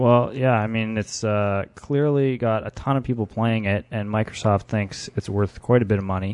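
A man's ordinary speaking voice, fairly low in pitch, at a moderate pace with fairly even intonation and hardly any pauses. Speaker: podcast host. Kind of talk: casual chat.

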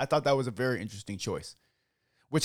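An animated man's voice with vocal fry, in a dry, close sound with no echo. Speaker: podcast host. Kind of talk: casual chat.

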